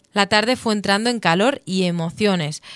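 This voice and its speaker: A woman's normal speaking voice at a moderate pace, dry and close with no echo, against a quiet background. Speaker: local news reporter. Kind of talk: scripted news narration recounting the festival event. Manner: formal, even, measured reporting pace.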